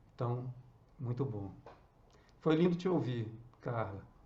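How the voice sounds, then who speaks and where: Amid audible room echo, a man with a medium pitch speaks in a dark, mellow, somewhat breathy voice. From northern Minas Gerais, Brazil. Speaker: actor. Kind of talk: casual chat. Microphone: too quiet.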